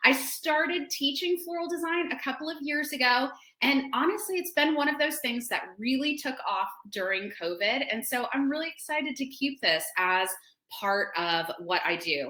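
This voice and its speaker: A raised, projected voice with a bright, sharp tone speaks at a moderate pace in an animated tone, its pitch swinging very widely. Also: woman, high pitch for a woman. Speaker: florist and floral design teacher. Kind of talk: webinar tutorial. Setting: online webinar.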